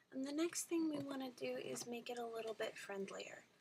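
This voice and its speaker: A woman speaks softly. Her intonation is lively. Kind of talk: soft-spoken ASMR craft tutorial. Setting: home, near a microphone, dogs barking outside. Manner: soft-spoken, slow.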